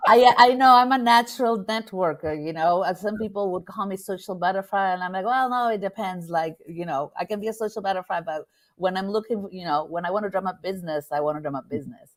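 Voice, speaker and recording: In a very clean recording with a silent background, a woman speaks with a Spanish accent. Her pace is very fast, with ordinary pitch variation and hardly any pauses. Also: medium pitch for a woman. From Argentina, Buenos Aires. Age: 50s. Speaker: business networker. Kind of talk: interview.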